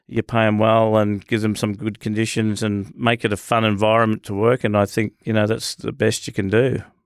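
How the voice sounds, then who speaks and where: On a very clean recording with a silent background and a dry, close sound without echo, a man with an Australian accent talks at a fairly quick pace with hardly any pauses, his fairly low voice in a monotone, flat intonation. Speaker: business owner. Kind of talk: casual chat. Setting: studio.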